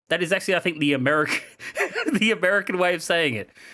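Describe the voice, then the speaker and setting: A man is speaking. He talks with an Australian accent. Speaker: video game streamer. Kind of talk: casual live-stream chat. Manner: animated.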